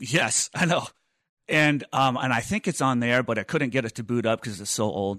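A man with an American accent and an ordinary speaking voice talks at a moderate pace in a medium pitch. The sound is dry and close with no echo, and the background is quiet. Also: ordinary pitch variation. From Missouri. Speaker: film composer and podcast co-host. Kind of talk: casual chat. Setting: video call.

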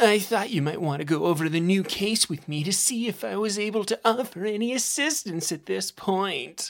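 A squeaky, put-on character voice that sounds female, with a medium pitch, a moderate pace and hardly any pauses. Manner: meek, hesitant.

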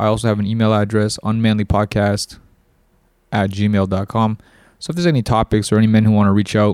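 In a Toronto accent, a man with a dark, mellow tone and a fairly low pitch speaks at a very fast pace. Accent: Canadian English, Toronto. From Canada, Toronto. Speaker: podcast host and life coach. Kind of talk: solo podcast monologue. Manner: casual, with many fillers.

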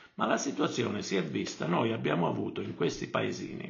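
A man's voice with audible room echo. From Calabria, Arbëreshë village in Cosenza province. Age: 70s. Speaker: retired country doctor. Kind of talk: interview conversation. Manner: halting, with many repetitions.

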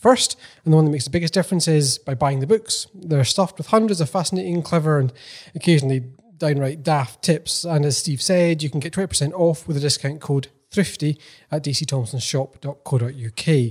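At a fairly quick pace, a man speaks in a fairly high, somewhat breathy voice with ordinary pitch variation. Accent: Scottish. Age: 30s. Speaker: podcast co-host. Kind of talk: scripted appeal; casual chat. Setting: office.

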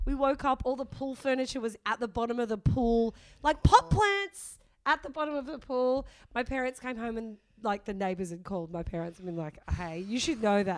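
Talking at a fairly quick pace with an Australian accent, the speaker's pitch swings very widely. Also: woman, fairly high pitch for a woman. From Sydney, northern beaches, Australia. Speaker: comedian. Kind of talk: casual chat. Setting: studio.

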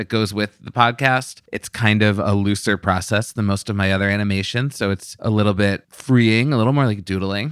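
A man with an ordinary speaking voice talks at a moderate pace with hardly any pauses and fairly even intonation, the sound dry and close with no echo. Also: fairly low pitch for a man. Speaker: podcast host. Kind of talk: casual interview conversation.

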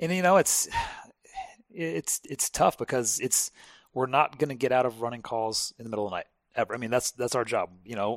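Using a plain, everyday voice, a man speaks at a medium pitch and a fairly quick pace. His intonation is lively, and the sound is dry and close with no echo. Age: 40s. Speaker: firefighter. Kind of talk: casual chat. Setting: at his home.

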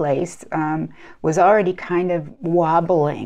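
A woman's ordinary speaking voice with an American accent, fairly low in pitch with ordinary pitch variation, at a fairly slow pace against a quiet background. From United States. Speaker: clinical psychologist. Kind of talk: interview.

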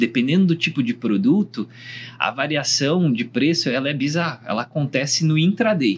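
Somewhat breathy, a man speaks at a moderate pace with a fairly high pitch and lively intonation. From Brazil. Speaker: startup founder. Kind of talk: panel discussion. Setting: recording room at a trade summit.

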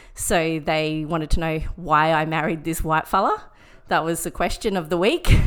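A woman with an Australian accent talks at a moderate pace, her fairly low pitch carrying fairly even intonation. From Brisbane, Australia. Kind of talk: casual interview, personal testimony. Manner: hesitant, many fillers.

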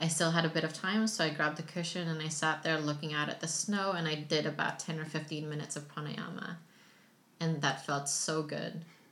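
Fairly quick speech with fairly even intonation and audible room echo. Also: woman, very deep, low pitch for a woman. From Philippines. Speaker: yoga teacher and entrepreneur. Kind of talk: casual chat. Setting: at home with baby nearby.

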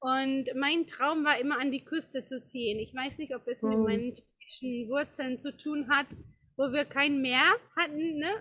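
In a raised, projected voice, a woman speaks at a fairly slow pace with high pitch, a bright, sharp tone and fairly even intonation. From Czech Republic, Prague. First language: Czech (speaking German). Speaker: yoga teacher. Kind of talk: interview. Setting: outdoor garden. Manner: halting.

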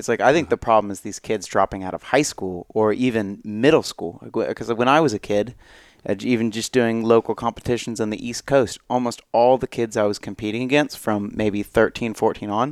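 On a very clean recording with a silent background, a man with an American accent uses an unremarkable speaking voice, medium in pitch, at a fairly quick pace with fairly even intonation. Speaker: podcast co-host. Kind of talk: casual chat.

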